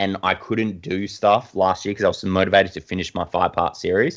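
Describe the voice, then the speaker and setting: A man with an Australian accent speaks at a fairly low pitch, and the background is quiet. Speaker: designer and artist. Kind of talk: casual interview.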